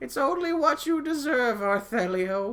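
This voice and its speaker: Using a put-on character voice, a man reaches an extremely high pitch with very wide pitch swings. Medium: game stream. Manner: folksy, brusque.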